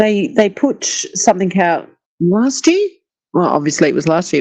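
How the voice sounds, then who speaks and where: A woman with an Australian accent speaks at a moderate pace in a dark, mellow tone. Her pitch swings very widely. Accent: Australian, called bland by herself. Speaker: YouTube live streamer. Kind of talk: casual live-stream chat. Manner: chatty, animated.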